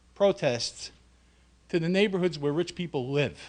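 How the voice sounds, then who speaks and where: Speaking at a moderate pace, a man talks with a New York accent. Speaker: union president. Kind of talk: speech. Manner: animated.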